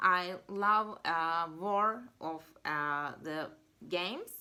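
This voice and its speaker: This woman speaks with a Turkish accent. Her tone is bright and sharp. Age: 20s. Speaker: university student. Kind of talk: job interview. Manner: halting.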